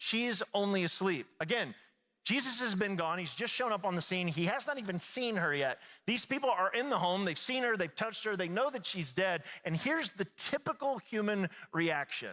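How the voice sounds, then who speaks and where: This man speaks in a raised, projected voice at a moderate pace, his pitch high and his intonation lively. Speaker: pastor delivering a sermon. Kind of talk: church sermon, live preaching. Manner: conversational, earnest.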